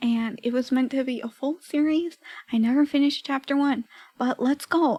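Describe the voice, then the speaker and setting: A soft-spoken woman talks at a fairly slow pace. Her high voice has a dark, mellow tone. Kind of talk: casual chatting to stream viewers about her old writing.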